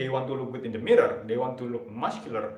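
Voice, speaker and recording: A man with a non-native accent, audible room echo and noticeable background noise. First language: not English. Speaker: self-improvement live streamer. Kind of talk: rehearsed motivational talk on live stream. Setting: live stream. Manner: stuttering, halting.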